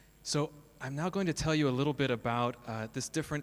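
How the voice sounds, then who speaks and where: Here is a man with a plain, everyday voice and an American accent. He speaks at a moderate pace with ordinary pitch variation. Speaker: school principal and co-founder. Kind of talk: conference talk. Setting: stage with audience.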